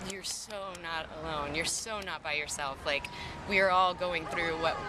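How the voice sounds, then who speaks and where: Over noticeable background noise, a woman speaks at a fairly quick pace with a fairly low pitch and fairly even intonation. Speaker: singer-songwriter. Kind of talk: casual interview. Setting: outdoors in a park playground.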